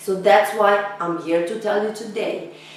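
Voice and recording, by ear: Raspy and medium in pitch, a woman speaks at a fairly slow pace with fairly even intonation and strong room echo.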